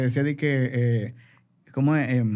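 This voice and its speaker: A man speaks on a very clean recording. The background is silent. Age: 40s. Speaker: advertising creative and entrepreneur. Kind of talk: casual chat. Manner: halting.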